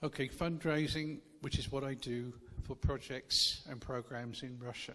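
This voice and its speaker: A man speaks at a fairly slow pace in an English accent, with medium pitch. His tone is bright and sharp, and his intonation stays fairly even. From England. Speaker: charity worker, visiting missionary speaker. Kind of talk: church talk with consecutive interpretation. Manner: short phrases with pauses for interpreter.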